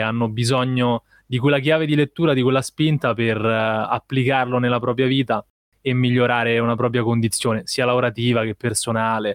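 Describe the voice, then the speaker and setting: At a moderate pace, a man with a medium pitch talks in a plain, everyday voice. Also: dry, close sound with no echo. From Rome, Italy. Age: 20s. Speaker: videomaker. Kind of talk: casual interview.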